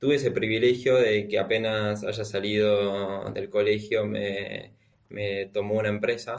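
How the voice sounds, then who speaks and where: His delivery is monotone and flat, pitched fairly low for a man. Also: fairly slow pace. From Argentina. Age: 20s. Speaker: software developer. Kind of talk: interview.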